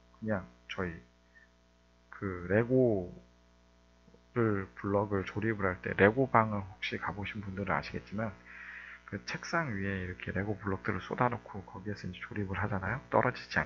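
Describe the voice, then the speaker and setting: Long, frequent pauses break up this man's speech, which sits at a fairly low pitch with ordinary pitch variation. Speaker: coding instructor. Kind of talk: tutorial. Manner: fast.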